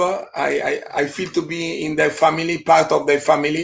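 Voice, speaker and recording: With an Italian accent, a man talks at a moderate pace in a high pitch with fairly even intonation. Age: 60s. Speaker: beer expert and event narrator. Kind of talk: live online interview. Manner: halting, many fillers.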